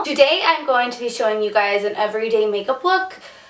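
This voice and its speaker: A woman speaks at a fairly quick pace, and audible room echo surrounds her voice. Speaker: beauty vlogger. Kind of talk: makeup tutorial. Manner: casual, filler-heavy.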